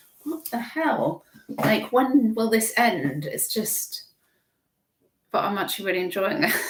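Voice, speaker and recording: In an English accent, a woman speaks at a fairly slow pace with long, frequent pauses, her fairly high pitch swinging very widely. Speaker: online reseller livestream host. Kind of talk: casual livestream chat. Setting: live stream. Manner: chatty, rambling with restarts.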